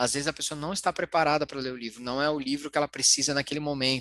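A man speaks in a fairly high, bright, sharp tone. The sound is dry and close, with no echo. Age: 40s. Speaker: financial therapist. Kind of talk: interview.

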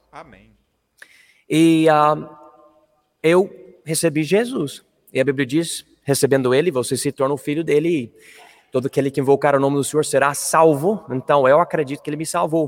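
A man with a fairly high pitch speaks at a moderate pace, with fairly even intonation and long, frequent pauses. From Colorado, US. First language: English (speaking Portuguese). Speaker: missionary pastor. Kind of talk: interview testimony.

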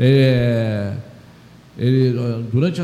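Audible room echo hangs on a man as he talks. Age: 70s. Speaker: president of a municipal council for the elderly. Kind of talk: radio interview. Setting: radio studio. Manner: halting.

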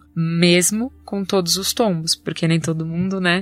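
A plain, everyday voice moves at a moderate pace. Its intonation stays fairly even. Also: woman. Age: 20s. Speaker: cancer survivor sharing her story. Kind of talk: testimony.

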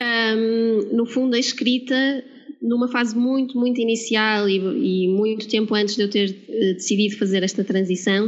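A woman with a Porto accent speaks at a moderate pace, her fairly high pitch carried on fairly even intonation and very even loudness. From northern Portugal, Porto. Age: 30s. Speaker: marketing and branding coach, former scientist. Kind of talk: interview.

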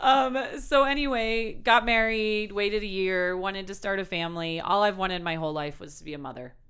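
Speaking at a fairly quick pace with hardly any pauses, a woman uses lively intonation at a medium pitch, her loudness swinging widely. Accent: Wisconsin. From Milwaukee, Wisconsin. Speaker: country radio host and blogger. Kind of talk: casual interview.

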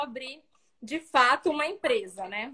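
The voice is raised and projected, bright and sharp in tone. It moves at a fairly slow pace. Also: woman. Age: 30s. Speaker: fashion designer and event rental business owner. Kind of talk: interview on a live video stream.

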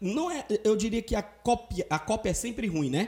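At a moderate pace, the voice's pitch rises and falls very widely. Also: man. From Brazil, Ceará (Fortaleza). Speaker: podcast host. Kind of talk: casual chat.

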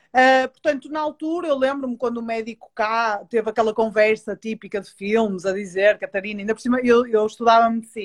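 A woman with an ordinary speaking voice talks at a fairly quick pace and fairly high pitch. Her intonation is lively, and the background is quiet. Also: dry, close sound with no echo. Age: 30s. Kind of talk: interview.

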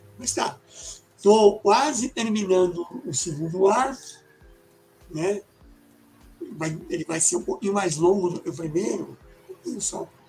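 Against noticeable background noise, a man speaks fairly slowly at a high pitch with lively intonation and long, frequent pauses. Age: 60s. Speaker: illustrator and graphic designer. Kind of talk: casual interview chat. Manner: halting, many fillers.

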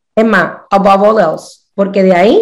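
An animated woman's voice, fairly high in pitch, with vocal fry. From Puerto Rico. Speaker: numerologist. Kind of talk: interview, casual chat.

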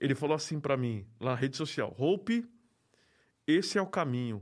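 Very wide pitch swings from a man with a fairly high voice, at a moderate pace, on a very clean recording with a silent background. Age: 40s. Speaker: graffiti artist. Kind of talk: interview.

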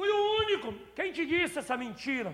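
The voice is raised and projected, with a bright, sharp tone and an animated delivery. Its pitch varies in an ordinary way. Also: man. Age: 50s. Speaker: pastor. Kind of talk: sermon. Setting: church.

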